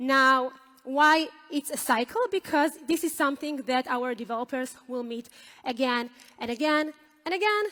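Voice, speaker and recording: A woman's raised, projected voice, high in pitch and with a non-native accent, over noticeable background noise. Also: ordinary pitch variation, moderate pace. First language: not English. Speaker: software team leader. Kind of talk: conference talk. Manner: hesitant with fillers.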